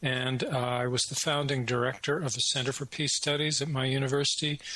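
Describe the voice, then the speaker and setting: With a Canadian accent, a man of medium pitch talks at a moderate pace amid noticeable background noise. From Canada. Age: 60s. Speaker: retired professor and independent researcher. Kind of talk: interview.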